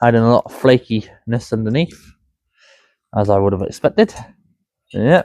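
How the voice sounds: The recording is dry and close with no echo, carrying a man's slightly mellow tone and lively intonation. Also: medium pitch for a man, moderate pace.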